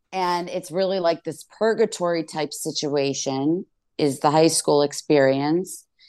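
A woman's very deep, low voice, dark and mellow in tone, at a fairly slow pace with ordinary pitch variation. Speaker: comedian. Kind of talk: casual chat.

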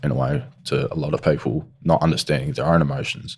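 An Australian-accented man with a very deep, low voice and ordinary pitch variation. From South Australia. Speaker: crime victim's son. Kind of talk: interview. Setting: studio.

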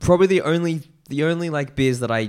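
In a very clean recording with a silent background, a man with an Australian accent speaks with lively intonation. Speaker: beer podcast host. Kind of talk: casual chat.

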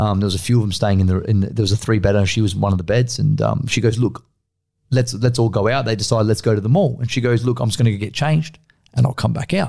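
A man speaks very fast with an Australian accent, his voice somewhat breathy. His pitch sits in the middle range with ordinary variation, and the tone is dark and mellow. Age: 20s. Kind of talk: casual chat.

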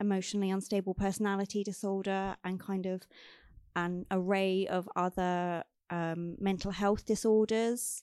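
A woman at medium pitch, clear, smooth and slightly mellow in tone, with little pitch movement and a moderate pace

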